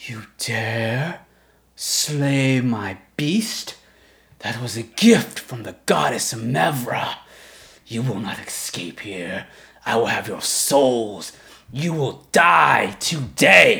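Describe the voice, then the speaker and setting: A man's raspy, growling put-on character voice, medium in pitch and very slow in pace. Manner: growling, menacing, angry.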